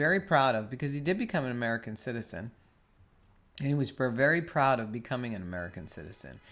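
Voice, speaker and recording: A man with a New York accent at a very fast pace, lively in intonation, on a very clean recording with a silent background. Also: medium pitch for a man. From New York, US. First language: Spanish. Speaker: podcast co-host. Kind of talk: casual chat.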